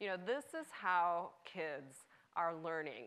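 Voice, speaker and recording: A woman's fairly low voice with a bright, sharp tone. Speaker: cultural anthropologist. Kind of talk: panel discussion. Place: stage.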